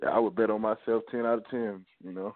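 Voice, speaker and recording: This man has a Southern US accent. His pitch is fairly low. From Georgia, US South (Augusta). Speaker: college football player. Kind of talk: interview.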